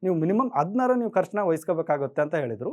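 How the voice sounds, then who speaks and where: This is a man's voice. His pitch is high. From India, Karnataka, Haveri district (rural). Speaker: graphic designer. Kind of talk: motivational talk.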